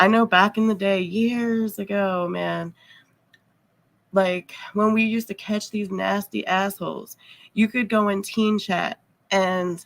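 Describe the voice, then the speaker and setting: Long, frequent pauses at a fairly slow pace, with monotone, flat intonation. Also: woman, medium pitch for a woman. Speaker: live streamer. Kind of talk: casual live stream chat. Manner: casual, filler-heavy.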